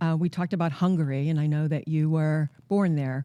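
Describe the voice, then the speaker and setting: A woman with an American accent, fairly low in pitch, dark and mellow in tone, at a fairly quick pace with fairly even intonation, on a very clean recording with a silent background. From Western Massachusetts (Northampton). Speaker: podcast host. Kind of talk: interview hosting. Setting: studio.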